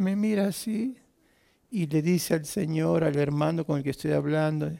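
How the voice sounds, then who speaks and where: A man's high voice with a dark, mellow tone, ordinary pitch variation and a fairly slow pace. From Argentina. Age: 50s. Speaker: pastor. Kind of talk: sermon. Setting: church with audience. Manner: animated.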